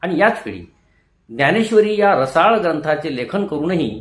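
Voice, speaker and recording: With very wide pitch swings, a man speaks in a somewhat breathy voice. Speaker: retired teacher. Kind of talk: motivational talk. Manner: formal.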